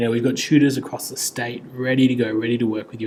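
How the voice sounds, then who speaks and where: In a space with audible room echo, a man talks with an Australian accent. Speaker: tutoring company director and essay teacher. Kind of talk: lecture. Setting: air-conditioned room. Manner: casual.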